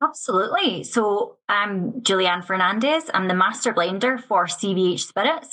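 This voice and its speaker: A woman speaks in a Scottish accent at a moderate pace, barely pausing at all. Her medium-pitched voice has a bright, sharp tone. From Scotland, west coast near Glasgow. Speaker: whisky master blender. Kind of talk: podcast interview. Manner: casual, with fillers.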